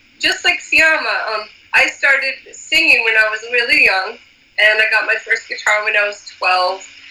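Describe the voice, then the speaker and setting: Over noticeable background noise, a woman with an American accent talks at a fairly high pitch with lively intonation. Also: moderate pace. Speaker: musician. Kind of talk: casual interview chat.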